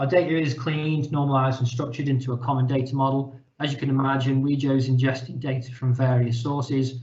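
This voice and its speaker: Very fast and with hardly any pauses, a man speaks at a medium pitch in a somewhat breathy voice with monotone, flat intonation. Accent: British. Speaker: company representative presenting data product. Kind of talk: webinar presentation. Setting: online webinar call.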